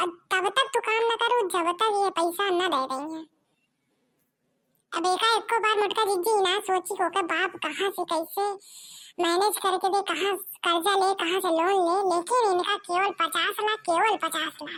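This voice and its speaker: A cartoonish character voice, female-sounding and pitched extremely high, carries the whole clip. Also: moderate pace. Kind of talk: cartoon comedy acting. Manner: motherly, sympathetic.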